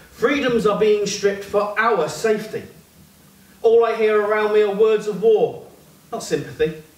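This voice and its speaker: Audible room echo surrounds a man with a high pitch. He keeps a moderate pace and ordinary pitch variation. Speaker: performance poet. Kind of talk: spoken word poetry performance, rhythmic and rhyming. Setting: stage with audience in a pub. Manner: impassioned, building to a declamatory climax; punchy, clipped rhetorical delivery. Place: bar.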